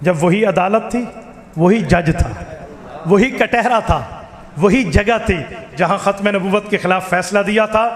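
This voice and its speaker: Noticeable background noise sits behind a man with a high-pitched voice. His tone is animated, and his pitch variation is ordinary. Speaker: Islamic cleric and preacher. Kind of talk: religious speech. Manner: animated, rhetorical.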